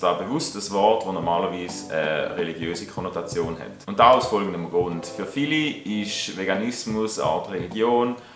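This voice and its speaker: Amid noticeable background noise, a man with a Swiss accent speaks in a fairly low pitch with hardly any pauses. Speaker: vegan animal rights advocate. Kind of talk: opinion commentary to camera.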